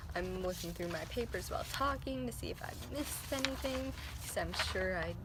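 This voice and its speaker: Soft-spoken, a woman talks through audible room echo and noticeable background noise. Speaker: vlogger. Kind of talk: casual vlog monologue. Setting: outdoors. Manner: hesitant, many fillers.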